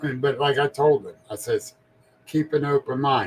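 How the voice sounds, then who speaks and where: A man talks at a moderate pace, somewhat breathy. His pitch sits fairly high. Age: 60s. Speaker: paranormal podcast host. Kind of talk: casual interview chat.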